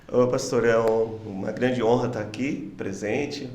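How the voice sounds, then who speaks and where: Heard with audible room echo, a man talks at a moderate pace in a medium pitch with monotone, flat intonation. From interior of São Paulo state, Brazil. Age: 60s. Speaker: pastor. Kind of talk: podcast interview.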